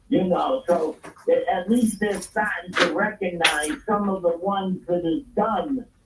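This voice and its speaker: A fairly slow pace, with noticeable background noise underneath. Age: 70s. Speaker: radio show guest. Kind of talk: casual chat.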